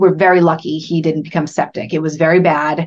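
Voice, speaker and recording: In an ordinary speaking voice, a woman with an American accent talks at a fairly quick pace and a fairly low pitch. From central Massachusetts. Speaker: entrepreneur. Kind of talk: interview conversation.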